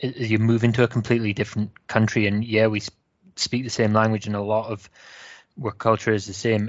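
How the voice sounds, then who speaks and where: In a Scottish accent, a man speaks at a fairly quick pace. His fairly low voice keeps a monotone, flat intonation. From Wales. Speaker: football fan panelist.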